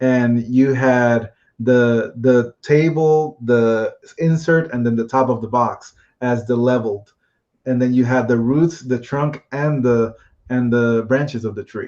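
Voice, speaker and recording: A man with a Spanish accent speaks at a medium pitch. His pace is fairly slow, and his intonation is fairly even. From Puerto Rico. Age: 30s. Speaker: board game designer. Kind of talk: interview. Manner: halting, many fillers and repeats.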